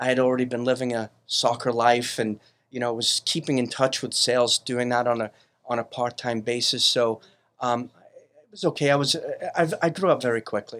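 A man with an American accent speaks at a moderate pace in a medium pitch, with fairly even intonation and an unremarkable speaking voice. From Brooklyn, New York. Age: 50s. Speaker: business owner, company CEO. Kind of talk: casual interview chat.

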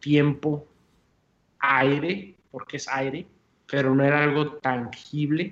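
Here a man speaks with a Mexican accent. His pitch is fairly high and his intonation monotone and flat. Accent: Mexican-sounding Spanish. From US-Mexico border, El Paso, Texas. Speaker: entrepreneur, coffee company founder. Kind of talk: interview.

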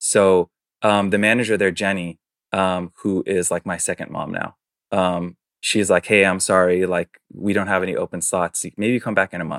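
Speaking in an American accent, a man with a very deep, low pitch keeps a monotone, flat intonation at a moderate pace on a very clean recording with a silent background. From New York City. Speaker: fashion brand co-founder. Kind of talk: casual interview. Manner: hesitant, many fillers.

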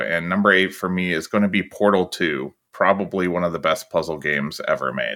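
This man's pitch is very deep and low. His tone is bright and sharp. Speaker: podcast guest. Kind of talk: casual chat.

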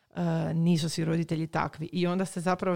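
In a dry, close sound with no echo, a woman talks fairly quickly at a fairly low pitch with monotone, flat intonation. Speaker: podcast host. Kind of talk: casual interview. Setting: studio, masks, 3 m apart.

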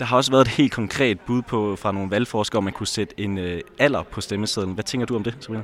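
Speaking at a very fast pace with hardly any pauses, a man uses a fairly low pitch and fairly even intonation. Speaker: podcast host. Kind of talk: casual chat, on-location reporting.

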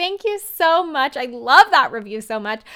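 Speaking at a moderate pace, a woman uses lively intonation and a bright, sharp tone. Her recording is very clean, with a silent background. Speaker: podcast host, social media business coach. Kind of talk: solo podcast tutorial. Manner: calm, encouraging.

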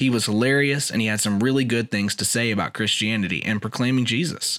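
A man in an ordinary speaking voice, at a fairly quick pace with ordinary pitch variation, in a very clean recording against a silent background. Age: 30s. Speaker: podcast host and minister. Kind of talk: monologue commentary.

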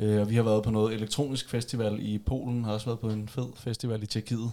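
Speaking at a very fast pace, a man uses a fairly low pitch, a dark, mellow tone and monotone, flat intonation. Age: 20s. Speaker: journalism student. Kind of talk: casual chat. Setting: home recording in a bedroom.

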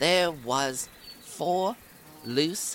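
Noticeable background noise runs behind this man as he talks. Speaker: tabletop roleplaying game master recapping story. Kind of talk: scripted story recap narration. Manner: animated storytelling.

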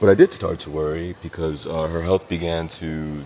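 A man with an American accent and a very deep, low pitch, over noticeable background noise. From US Pacific Northwest (Seattle). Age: young. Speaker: race car driver and author. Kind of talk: interview, life story. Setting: speedway museum hall.

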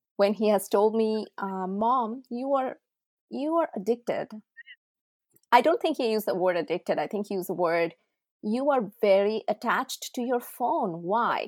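A woman with a Bengali accent speaks at a moderate pace, with a fairly high pitch and lively intonation. The very clean recording has a silent background and a dry, close sound with no echo. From India, Odisha. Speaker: tech entrepreneur and parent. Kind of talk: casual interview.

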